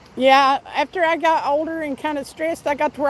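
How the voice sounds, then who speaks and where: Talking at a fairly quick pace, a woman with a Southern US accent uses a high pitch. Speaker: fishing livestreamer. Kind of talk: casual chat.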